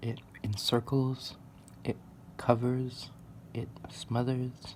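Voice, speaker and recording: The speaker is soft-spoken. The pace is very slow. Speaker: amateur artist and martial arts practitioner. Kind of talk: soft-spoken musing while drawing.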